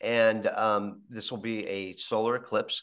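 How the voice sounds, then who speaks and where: A man is speaking against a quiet background. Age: 50s. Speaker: podcast host. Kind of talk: interview. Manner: halting. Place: home room. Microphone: video call.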